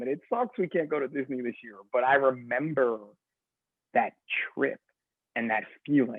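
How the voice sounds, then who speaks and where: An American accent and an animated tone mark this man's speech at a moderate pace. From New Jersey. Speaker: firefighter and fitness coach. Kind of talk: casual chat.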